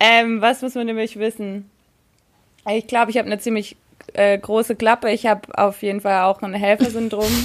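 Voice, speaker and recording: Speaking in a flat monotone at a moderate pace, a woman with a fairly high voice leaves long, frequent pauses. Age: 20s. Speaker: podcast interview guest. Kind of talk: casual chat.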